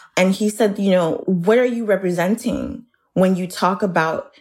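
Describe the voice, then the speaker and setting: This woman has an unremarkable speaking voice of medium pitch. She talks at a moderate pace. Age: 30s. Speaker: writer. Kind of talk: interview.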